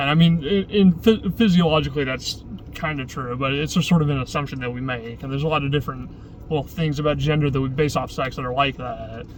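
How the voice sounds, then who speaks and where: Fairly high in pitch, a man speaks at a very fast pace. Noticeable background noise runs throughout. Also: ordinary pitch variation. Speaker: vlogger. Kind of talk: casual vlog monologue. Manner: halting, many false starts.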